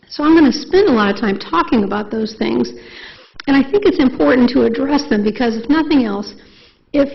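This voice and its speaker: Over noticeable background noise and audible room echo, a woman with a high pitch speaks at a very fast pace. Her intonation is lively. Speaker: neuropsychologist. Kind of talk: lecture. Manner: animated.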